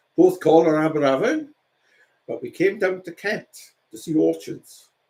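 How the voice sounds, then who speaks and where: A man in a South Wales Valleys accent at a moderate pace, with big swings in loudness. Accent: Welsh, South Wales valleys. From South Wales, Rhondda. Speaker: painter. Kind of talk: casual chat.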